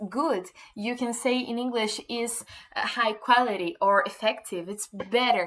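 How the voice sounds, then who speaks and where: The voice has a bright, sharp tone and a Portuguese accent, moving at a fairly slow pace with fairly even intonation in a very clean recording with a silent background. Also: woman. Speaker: English teacher. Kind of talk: tutorial. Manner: halting, many fillers and repetitions.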